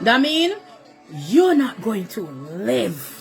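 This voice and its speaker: A woman at a very slow pace with very wide pitch swings, over music in the background. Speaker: mother. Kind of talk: emotional selfie video plea.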